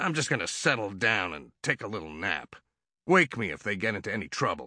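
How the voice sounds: A man puts on a character voice, fairly low in pitch, with a bright, sharp tone and big pitch swings at a fairly quick pace. The recording is very clean, with a silent background.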